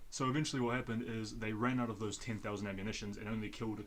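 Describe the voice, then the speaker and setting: Speaking at a very fast pace, a man has a fairly low pitch and a New Zealand accent. His intonation is fairly even, and the room echo is audible. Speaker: podcast host. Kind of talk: casual chat.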